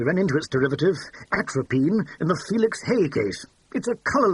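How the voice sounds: This is a natural reading voice. It carries the text through from start to finish.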